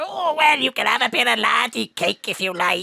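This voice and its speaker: A man performs a put-on character voice with very wide pitch swings. The sound is dry and close, with no echo. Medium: audio drama. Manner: warm, motherly, chatty.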